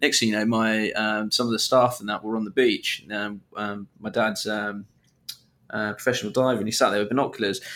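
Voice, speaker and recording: A man with a British accent talks at a moderate pace in a medium pitch, with a bright, sharp tone and flat, monotone intonation. The recording is very clean, with a silent background. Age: 20s. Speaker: podcast host. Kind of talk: casual chat.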